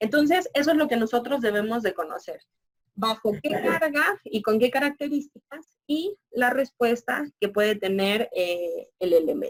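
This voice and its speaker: High-pitched and fairly slow, a woman's voice moves through very wide pitch swings in a dry, close sound with no echo. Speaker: university lecturer. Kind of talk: lecture.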